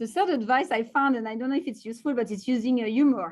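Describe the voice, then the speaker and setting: A woman with a strong French accent at a fairly quick pace, over a quiet background. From France. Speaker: tech executive. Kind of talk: interview. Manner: halting, many fillers.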